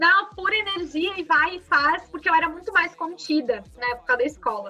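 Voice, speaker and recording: At a moderate pace, a raised, projected voice with a bright, sharp tone carries lively intonation. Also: woman. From southern Brazil, Rio Grande do Sul (Farroupilha). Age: 20s. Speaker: entrepreneur and social media influencer. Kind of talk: casual interview.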